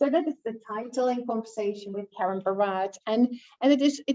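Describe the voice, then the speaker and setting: A woman with a non-native accent speaks at fairly high pitch in a dark, mellow tone. The sound is dry and close, without echo. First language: not English. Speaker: academic author, education researcher. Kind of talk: book launch talk. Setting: event with live and online audience. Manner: hesitant, many fillers.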